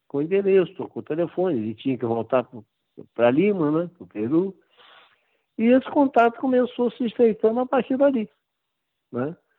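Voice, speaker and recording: A man with a high pitch and very wide pitch swings talks at a moderate pace, leaving long, frequent pauses. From Brazil. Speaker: football writer and author. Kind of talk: interview.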